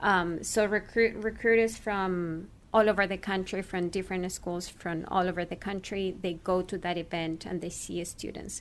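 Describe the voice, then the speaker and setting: With a Spanish accent, the speaker keeps a moderate pace and hardly pauses. The intonation is flat and monotone, in a very clean recording with a silent background. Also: woman, medium pitch for a woman. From Chile. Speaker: actor and former radio journalist. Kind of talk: interview. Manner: hesitant, many fillers.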